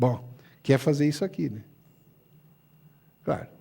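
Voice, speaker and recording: This man's voice sits at a fairly high pitch, somewhat breathy with a dark, mellow tone, moving at a moderate pace. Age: 70s. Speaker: ophthalmologist. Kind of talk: lecture. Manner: animated.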